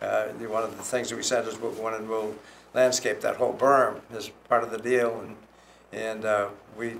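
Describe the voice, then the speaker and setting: Speaking at a moderate pace in a room with audible echo, a man with a medium-pitched voice keeps a monotone, flat intonation while his loudness swings widely. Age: 80s+. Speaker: property developer. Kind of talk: public meeting comment. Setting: town planning commission meeting.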